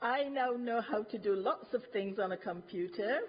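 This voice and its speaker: A woman with a plain, everyday voice speaks at a moderate pace in a fairly high pitch with ordinary pitch variation. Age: 60s. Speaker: retired health visitor, resident speaker. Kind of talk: prepared testimony at council meeting. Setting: council cabinet meeting. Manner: formal.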